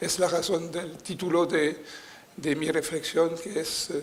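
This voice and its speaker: This man talks at a high pitch and a very slow pace, with a non-native accent and monotone, flat intonation. Audible room echo and noticeable background noise are present. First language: French (speaking Spanish). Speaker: political scientist, conference speaker. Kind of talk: conference lecture. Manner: halting, many fillers.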